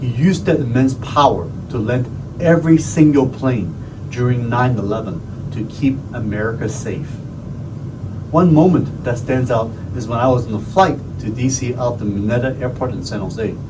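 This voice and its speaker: Noticeable background noise sits behind a man speaking at a moderate pace, his medium pitch showing ordinary variation. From Hong Kong. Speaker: county supervisor; navy veteran. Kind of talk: tribute speech to camera.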